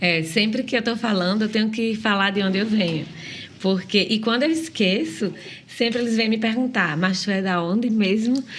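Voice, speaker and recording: A woman with a strong northeastern Brazilian accent speaks at a moderate pace in a fairly high pitch, with ordinary pitch variation and very even loudness. Audible room echo and noticeable background noise surround her voice. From Northeast Brazil. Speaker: children's ministry worker. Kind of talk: podcast conversation.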